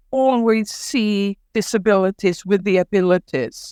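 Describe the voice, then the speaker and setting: A woman with a Welsh accent speaks at a very slow pace. The sound is dry and close with no echo, on a very clean recording with a silent background. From Wales, Ceredigion. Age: 60s. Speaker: writer and storyteller. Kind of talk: podcast interview.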